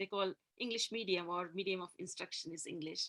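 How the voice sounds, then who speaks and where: Speaking with a Gujarati accent, a woman at medium pitch uses a bright, sharp tone, lively intonation and some vocal fry at a moderate pace, in a dry, close recording with no echo. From India, Gujarati community. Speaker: interview guest, engineer. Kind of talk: interview about faith and life. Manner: hesitant, many fillers.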